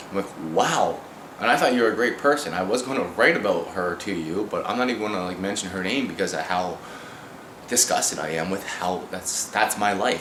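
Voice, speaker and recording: Against noticeable background noise and audible room echo, a man talks at a fairly quick pace in a fairly low voice with ordinary pitch variation. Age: 30s. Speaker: amateur rapper. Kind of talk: video message. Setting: at home, indoors. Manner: fast; rambling, halting.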